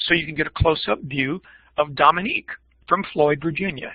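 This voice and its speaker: A man's pitch varies in an ordinary way as he keeps a fairly quick pace. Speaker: teacher education professor. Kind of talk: keynote presentation. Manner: fast.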